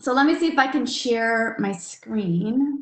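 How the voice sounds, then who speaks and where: Somewhat breathy female voice with an American accent and ordinary pitch variation. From Milwaukee, Wisconsin. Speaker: real estate developer. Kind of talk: webinar presentation. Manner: fast.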